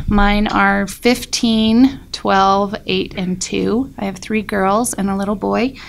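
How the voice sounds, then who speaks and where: Noticeable background noise sits behind a woman's voice. She speaks at medium pitch and a very slow pace. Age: 30s. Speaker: patient panelist. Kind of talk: panel discussion.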